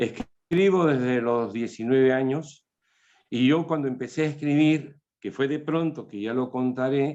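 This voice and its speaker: A man speaking fairly slowly with ordinary pitch variation over a quiet background. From Peru, Lima. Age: 60s. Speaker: author. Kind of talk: interview. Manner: hesitant, many fillers.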